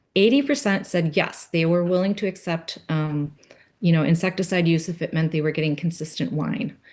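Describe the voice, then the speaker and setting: Behind an unremarkable speaking voice, the background is quiet. It moves at a fairly quick pace with ordinary pitch variation. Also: woman, fairly low pitch for a woman. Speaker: conference presenter on grapevine pest research. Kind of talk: conference presentation.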